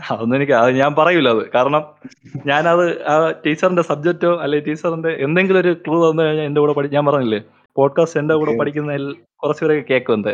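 A man talks in a normal speaking voice with very even loudness. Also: fairly high pitch for a man, fairly even intonation. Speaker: podcast host. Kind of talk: casual chat.

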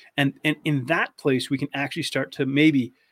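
A man with an unremarkable speaking voice and a fairly high pitch talks at a moderate pace in a Canadian accent, the sound dry and close with no echo. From Canada. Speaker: eating disorder expert, navy veteran. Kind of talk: casual interview chat.

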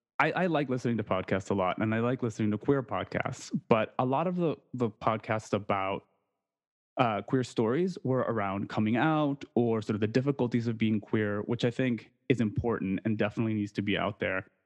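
A man's medium-pitched, plain, everyday voice at a fairly quick pace, with ordinary pitch variation and a dry, close sound with no echo. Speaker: podcaster. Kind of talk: casual chat.

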